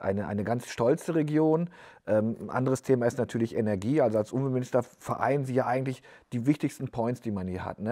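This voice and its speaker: Against a quiet background, a man speaks at a fairly quick pace with a medium pitch, ordinary pitch variation and a dark, mellow tone. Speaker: newspaper editor-in-chief and podcast host; newspaper editor-in-chief, podcast host. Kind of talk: interview. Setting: newsroom studio. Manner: casual. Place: studio. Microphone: lapel.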